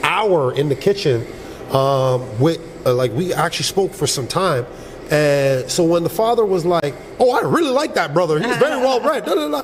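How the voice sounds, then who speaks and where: Over noticeable background noise, a man talks in a high pitch with very wide pitch swings. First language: Yoruba. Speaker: reality dating show contestant. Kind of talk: casual chat.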